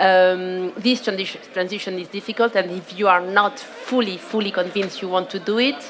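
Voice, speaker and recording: A woman with a French accent speaks with hardly any pauses and fairly even intonation. Noticeable background noise runs underneath. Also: medium pitch for a woman, moderate pace. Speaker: panelist from a food systems organization. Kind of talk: panel discussion. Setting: outdoor conference stage.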